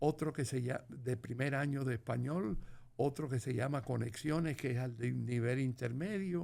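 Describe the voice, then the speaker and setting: With a dark, mellow tone, a man speaks in a medium pitch with ordinary pitch variation. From Cuba. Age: 90s. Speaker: war veteran and author. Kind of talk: interview.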